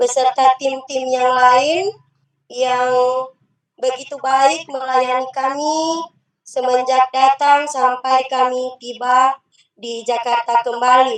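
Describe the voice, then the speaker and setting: The speaker has a Central Sulawesi accent and talks at a very slow pace. The intonation is flat and monotone. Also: woman, high pitch for a woman. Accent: Sulawesi (Palu) dialect. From Palu, Central Sulawesi. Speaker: umrah pilgrim giving testimony. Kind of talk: testimony. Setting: video call from inside a car. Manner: halting, with many fillers.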